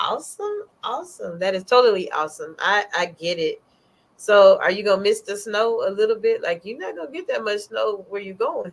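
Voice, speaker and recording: A woman speaks with an American accent at a moderate pace. Her loudness swings widely. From northern US. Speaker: talk show host. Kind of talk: interview. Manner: animated.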